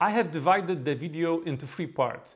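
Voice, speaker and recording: A man with a strong Polish accent and a high voice, speaking at a moderate pace on a very clean recording with a silent background. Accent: Polish accent, fairly strong. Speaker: DevOps consultant and YouTuber. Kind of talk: tutorial.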